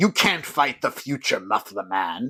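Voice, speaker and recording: A put-on character voice delivered at a moderate pace. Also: man. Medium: short film.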